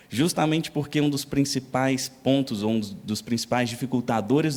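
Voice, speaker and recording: A man with a dark, mellow tone speaks using fairly even intonation. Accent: Minas Gerais. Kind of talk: lecture.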